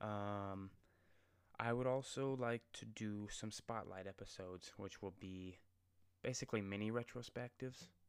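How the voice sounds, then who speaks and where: With fairly even intonation and a moderate pace, a man talks in a fairly low pitch. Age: 20s. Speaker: podcast host. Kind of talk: solo podcast monologue. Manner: casual, filler-heavy.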